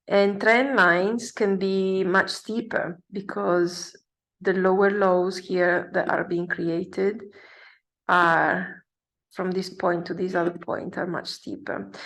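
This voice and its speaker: The speaker has a non-native accent and fairly even intonation, talking at a very slow pace. The background is quiet. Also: woman, medium pitch for a woman. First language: not English. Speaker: forex trader. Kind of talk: tutorial. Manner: halting, many fillers.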